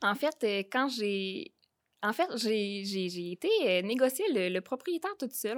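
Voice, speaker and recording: In a very clean recording with a silent background, a woman with a normal speaking voice and fairly high pitch speaks at a moderate pace. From Quebec, Beauce region. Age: 20s. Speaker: real estate investor. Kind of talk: interview.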